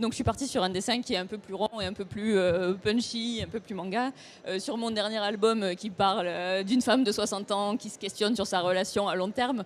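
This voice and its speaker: Using a plain, everyday voice, a woman with a medium pitch talks at a fairly quick pace with fairly even intonation. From France, Toulouse region. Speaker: comics author and illustrator. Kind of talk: panel discussion.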